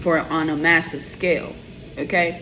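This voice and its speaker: A woman with a New York accent speaks at a fairly slow pace, her pitch fairly low. Noticeable background noise runs behind her. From New York, the Bronx. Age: 30s. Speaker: tarot YouTuber. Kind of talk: opinion rant to camera. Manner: animated.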